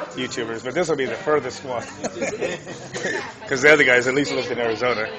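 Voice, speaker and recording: Over crowd noise in the background, a man speaks at a very fast pace. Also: ordinary pitch variation. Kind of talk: casual vlog chat. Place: cafe. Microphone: phone near.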